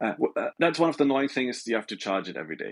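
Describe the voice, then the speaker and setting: Against a quiet background, a man talks in a German accent. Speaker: smartwatch maker. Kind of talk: casual chat. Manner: halting, with many repetitions.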